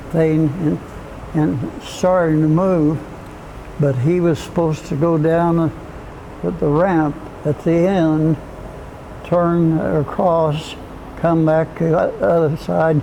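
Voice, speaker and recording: At a very slow pace with long, frequent pauses, a man with a fairly high pitch speaks in a monotone, flat way at very even loudness over noticeable background noise. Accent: American. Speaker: Cold War Air Force veteran, former jet mechanic. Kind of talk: oral history interview answer, recounting a memory. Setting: recorded interview.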